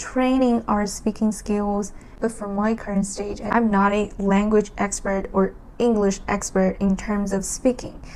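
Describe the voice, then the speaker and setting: A woman speaks with a Chinese accent at a medium pitch. Her pace is very slow. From China. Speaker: language learning vlogger. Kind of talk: casual talk to camera. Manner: halting.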